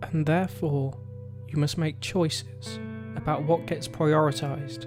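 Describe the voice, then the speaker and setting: With music in the background, a man speaks in a calm tone at a fairly slow pace. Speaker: hypnotherapist. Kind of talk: hypnosis session. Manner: slow, calm.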